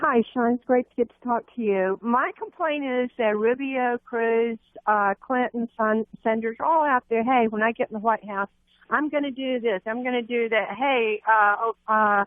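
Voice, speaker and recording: Her voice is an ordinary speaking voice, and the woman's pitch is fairly high. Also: fairly even intonation, moderate pace. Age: 60s. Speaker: radio caller. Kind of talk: phone-in call.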